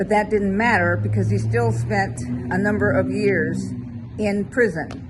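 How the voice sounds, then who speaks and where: A woman's voice with noticeable background noise. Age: 80s+. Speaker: therapist and mindset coach. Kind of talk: motivational talk to camera. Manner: conversational, storytelling.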